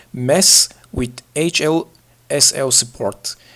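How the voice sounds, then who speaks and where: The speaker is a man with a non-native accent. His pitch varies in an ordinary way. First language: not English. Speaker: gaming tutorial youtuber. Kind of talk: tutorial. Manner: halting, frequent filler uhs.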